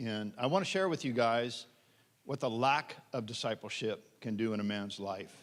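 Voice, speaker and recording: Someone with an American accent talks at a moderate pace with ordinary pitch variation, in an unremarkable speaking voice. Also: man. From Pennsylvania. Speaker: pastor. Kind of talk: testimony.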